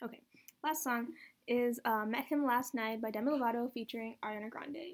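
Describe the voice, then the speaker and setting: This woman has a plain, everyday voice. She speaks at a fairly high pitch and a fairly quick pace. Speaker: student podcast host reviewing music. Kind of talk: casual chat.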